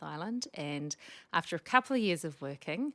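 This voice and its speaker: In a very clean recording with a silent background, a woman speaks at a fairly quick pace with a strong New Zealand accent. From New Zealand, Wellington. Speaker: speech pathologist. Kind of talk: podcast interview.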